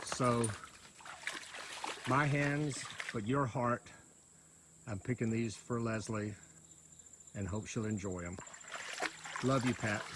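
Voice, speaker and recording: Speaking at a very slow pace with long, frequent pauses, a man with a Southern US accent uses a medium pitch and ordinary pitch variation over noticeable background noise. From US South, rural East Georgia. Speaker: friend giving memorial tribute. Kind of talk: memorial tribute.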